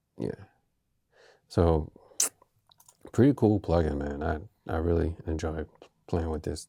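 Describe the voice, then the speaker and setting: The speaker has a non-native accent and talks fairly slowly, with long, frequent pauses. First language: not English. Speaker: music producer and mixing tutor. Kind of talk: tutorial. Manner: casual, halting with fillers.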